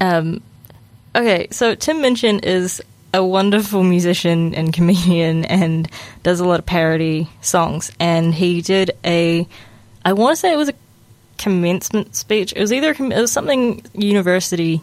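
This woman speaks with a New Zealand accent at a moderate pace. Her loudness stays very even. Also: medium pitch for a woman, ordinary pitch variation. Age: 20s. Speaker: radio host. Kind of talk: casual monologue. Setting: studio. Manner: casual, halting.

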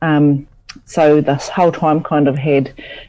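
In a New Zealand accent, a woman talks fairly slowly with a very deep, low pitch, a dark, mellow tone and monotone, flat intonation. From New Zealand, Taihape. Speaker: lecturer and researcher. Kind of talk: radio interview. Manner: hesitant, many fillers.

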